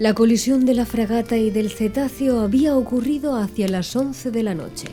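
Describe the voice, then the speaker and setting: Music plays behind a woman speaking at a fairly high pitch. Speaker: audiobook narrator. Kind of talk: ASMR audiobook reading. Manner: soft-spoken, calm.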